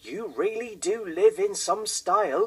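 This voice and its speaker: A man puts on a character voice with a high pitch. He speaks at a fairly slow pace. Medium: read story. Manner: gentle, warm.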